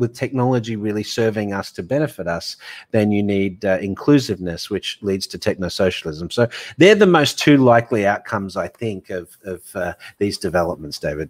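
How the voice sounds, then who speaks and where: With an Australian accent, a man speaks fairly quickly at a fairly low pitch with ordinary pitch variation, in a very clean recording with a silent background and a dry, close sound with no echo. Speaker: fintech author and banking futurist. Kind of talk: interview.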